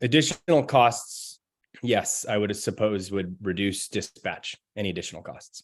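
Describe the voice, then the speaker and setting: This man has a fairly low pitch. His pitch variation is ordinary. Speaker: expert witness. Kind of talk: witness testimony. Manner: fast.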